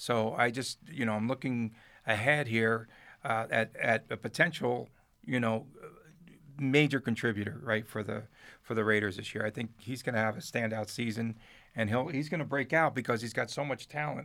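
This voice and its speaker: Over a very clean recording with a silent background, the speaker talks with a New Jersey accent in a bright, sharp tone, at a moderate pace with ordinary pitch variation. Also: man, medium pitch for a man. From Newark, New Jersey. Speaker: sports radio broadcaster and journalist. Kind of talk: casual interview chat.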